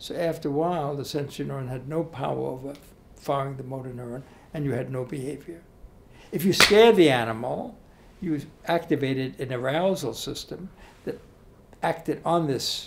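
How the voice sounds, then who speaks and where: A somewhat breathy man at a moderate pace, ordinary pitch variation, long, frequent pauses, light background noise. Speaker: interviewee. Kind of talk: interview answer. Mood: calm, explanatory. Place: hall. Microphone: handheld.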